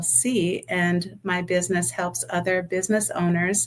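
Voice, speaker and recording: A woman speaks at a medium pitch with an American accent. Her pace is fairly slow. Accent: New York accent, comes out when upset. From New York City (Bronx). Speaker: accountant and business owner. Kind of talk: interview.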